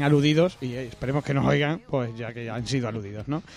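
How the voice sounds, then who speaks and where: Fairly quick speech in a Spanish accent with ordinary pitch variation, over noticeable background noise. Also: man. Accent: Spanish (Spain). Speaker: podcast host. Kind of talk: casual chat.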